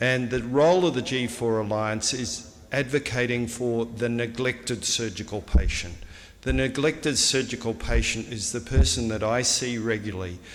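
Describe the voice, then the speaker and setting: A man with an Australian accent speaks at a medium pitch and a moderate pace, with ordinary pitch variation. Room echo is audible. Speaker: surgeon. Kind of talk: conference speech.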